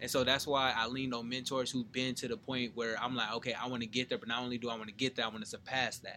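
A man with an American accent talks at a very fast pace with hardly any pauses and monotone, flat intonation, over noticeable background noise. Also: medium pitch for a man. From Southern California, San Bernardino. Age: 20s. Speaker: motivational speaker. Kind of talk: casual chat.

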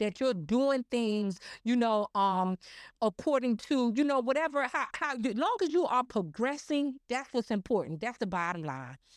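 A loud, animated woman with a high pitch and lively intonation, dry and close with no echo on a very clean recording with a silent background. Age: 50s. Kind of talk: casual chat.

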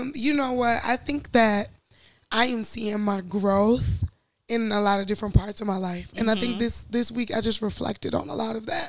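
Heard in a very clean recording with a silent background, a woman speaks at a fairly high pitch. Her pace is moderate and her pitch variation ordinary. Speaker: podcast co-host.

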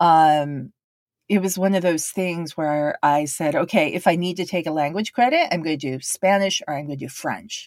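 A woman's fairly low, plain, everyday voice, with ordinary pitch variation at a moderate pace, on a very clean recording with a silent background. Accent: American. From Japan (Tokyo), third culture kid. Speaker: podcast host, interpreter. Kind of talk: personal monologue podcast. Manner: casual, many fillers and laughs.

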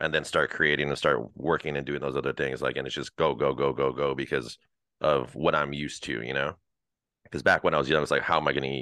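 A man with an American accent speaks very fast at a very deep, low pitch, with vocal fry and a bright, sharp tone. His intonation is monotone and flat. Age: 30s. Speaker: dog trainer. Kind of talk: casual chat.

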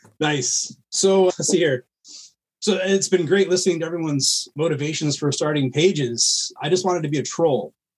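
At a moderate pace and a fairly high pitch, a man uses a plain, everyday voice with ordinary pitch variation. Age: 30s. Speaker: meme page creator, combat veteran. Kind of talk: casual chat.

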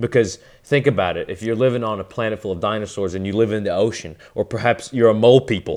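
A man talks at a very fast pace. His pitch is medium, and his intonation stays fairly even. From Western Kentucky. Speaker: podcast guest. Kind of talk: casual chat.

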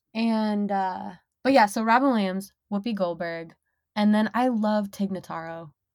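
A woman with an American accent and a normal speaking voice speaks at a moderate pace in a medium pitch with ordinary pitch variation, on a very clean recording with a silent background. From Minnesota, US. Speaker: sex worker and podcast host. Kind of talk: casual interview chat.

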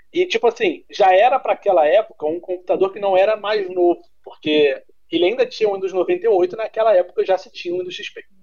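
Here a man with a high pitch talks at a very fast pace, using ordinary pitch variation. His loudness swings widely. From Niterói / São Gonçalo, Rio de Janeiro state, Brazil. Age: 20s. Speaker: content creator. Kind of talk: casual chat.

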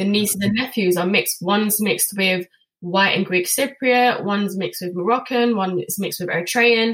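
With a London accent, a woman speaks at a fairly quick pace with a medium pitch and ordinary pitch variation. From London, England. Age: 20s. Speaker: children's author. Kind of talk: interview. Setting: video call.

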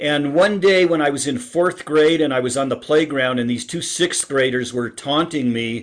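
A man's fairly high voice, a normal speaking voice at a moderate pace with ordinary pitch variation. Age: 60s. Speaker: author and speaker on happiness. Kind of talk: interview.

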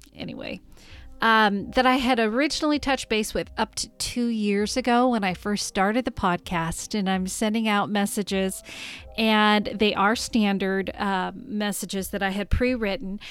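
Music plays in the background as the voice moves with ordinary pitch variation. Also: woman, medium pitch for a woman, moderate pace. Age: 40s. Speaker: podcast host. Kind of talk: casual solo monologue. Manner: halting.

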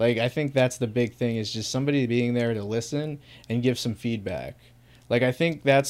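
A normal speaking voice from a man with an American accent, medium pitch and fairly quick pace, on a very clean recording with a silent background. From US Northeast, small town. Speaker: chronic pain sufferer sharing his story. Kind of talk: casual interview.

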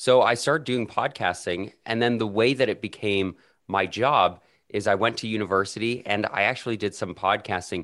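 A man with a Canadian accent talks at a moderate pace, his pitch fairly low with ordinary variation. It is a normal speaking voice. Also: quiet background. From Canada, Calgary. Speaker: podcaster and editor. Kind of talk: interview.

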